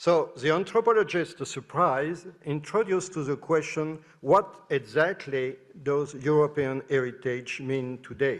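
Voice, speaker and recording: Speaking fairly slowly with a French accent, a man uses a fairly high pitch and ordinary pitch variation. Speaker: professor. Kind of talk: conference talk. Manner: halting.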